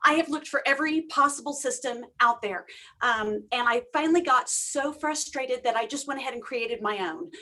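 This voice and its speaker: Using a raised, projected voice, a woman with a high pitch and a bright, sharp tone speaks at a fairly quick pace with ordinary pitch variation. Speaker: grant consultant. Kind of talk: webinar presentation. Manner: fast.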